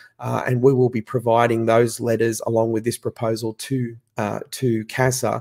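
In an Australian accent, a man with a dark, mellow tone speaks at a medium pitch in a monotone, flat intonation, in a very clean recording with a silent background. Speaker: association chief executive.

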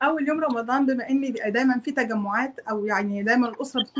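In an Egyptian accent, a woman speaks with a high pitch and ordinary pitch variation. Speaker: homemaker and YouTuber; YouTuber. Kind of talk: casual chat; interview answer. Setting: video call. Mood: warm, friendly. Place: home room. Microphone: video call.

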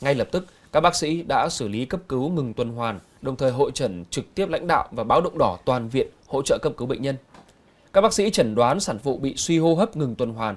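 In an unremarkable speaking voice, the speaker moves at a fairly quick pace with lively intonation. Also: man. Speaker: news anchor. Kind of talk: news reading. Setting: studio. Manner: formal.

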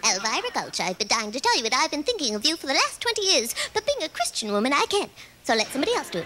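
Over light background noise, a woman speaks at a very fast pace in a raised, projected voice. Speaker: stand-up comedian. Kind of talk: comedy routine with character impressions. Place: stage. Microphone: handheld.

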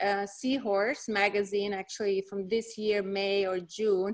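A woman with a Hungarian accent at a moderate pace, against a quiet background. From Hungary. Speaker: dermatologist. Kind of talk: lecture. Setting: video call.

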